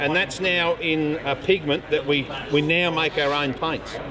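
With clear background noise behind him, a man talks at a fairly slow pace and a fairly high pitch. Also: fairly even intonation.

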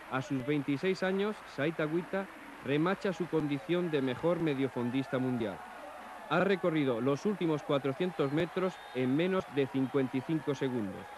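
Noticeable background noise sits behind a man speaking at a very slow pace. His fairly high voice has ordinary pitch variation and very even loudness. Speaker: sports commentator. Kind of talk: 1980s TV sports commentary narration.

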